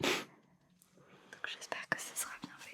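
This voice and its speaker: A man's whisper, gentle and relaxed in tone, over noticeable background noise. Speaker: ASMR content creator who works in a hospital, shaves patients before surgery. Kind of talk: ASMR facial care role-play, addressed to a partner and the listeners. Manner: soft, gentle, relaxed.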